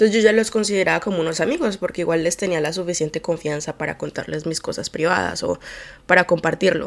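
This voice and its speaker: This woman speaks at a very fast pace with vocal fry. Her pitch is fairly low and her intonation fairly even. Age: 20s. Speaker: podcast host. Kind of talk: solo monologue podcast. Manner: low-energy; distracted.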